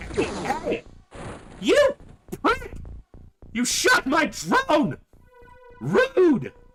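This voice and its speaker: A man uses a put-on character voice at an extremely high pitch, speaking at a very slow pace. Faint music plays in the background. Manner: voice cracking; indignant, shouting.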